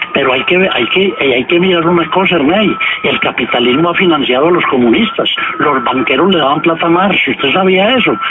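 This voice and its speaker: A man speaks fairly quickly at a high pitch, with lively intonation and very even loudness. Audible room echo and noticeable background noise are present. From Colombia, Pereira. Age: 70s. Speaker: journalist and writer. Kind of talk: radio interview.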